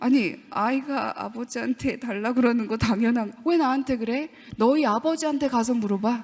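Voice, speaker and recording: A woman speaks in an animated tone at a moderate pace. Her pitch is high, with ordinary variation. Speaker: professor giving lecture to teachers. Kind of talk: lecture.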